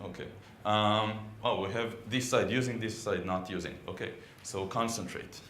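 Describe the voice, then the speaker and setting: A man speaks in an Israeli accent with ordinary pitch variation. Audible room echo is present. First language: Hebrew. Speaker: software consultant and conference speaker. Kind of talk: technical conference talk. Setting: conference room with audience. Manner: hesitant, many fillers.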